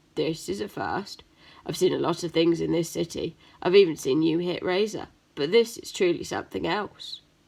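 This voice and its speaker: In a put-on character voice, a woman sounds gravelly and raspy at a fairly low pitch and moderate pace, on a very clean recording with a silent background. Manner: amazed, wry.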